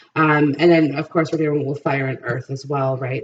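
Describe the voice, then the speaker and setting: Clear background noise sits under speech that moves along rather quickly. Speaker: tarot reader. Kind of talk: tarot reading monologue. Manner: fast; hesitant, many fillers.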